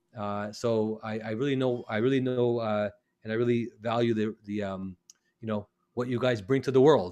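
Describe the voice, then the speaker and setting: This man's intonation is fairly even. His voice sits at a medium pitch. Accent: Canadian. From northern Canada. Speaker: eye surgeon. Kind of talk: webinar talk. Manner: fast.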